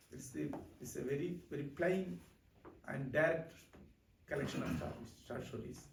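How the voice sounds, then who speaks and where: A man speaks with an Indian accent and noticeable vocal fry. There is audible echo from the room. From southern India, near Kanyakumari. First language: Malayalam. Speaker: writer. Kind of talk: public talk. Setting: library talk with audience.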